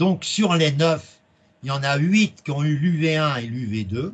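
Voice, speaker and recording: A man with a fairly high pitch delivers his words very slowly. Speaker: accounting exam trainer. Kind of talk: presentation. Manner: loud.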